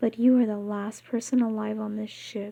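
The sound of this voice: With ordinary pitch variation, the speaker uses an unforced reading voice.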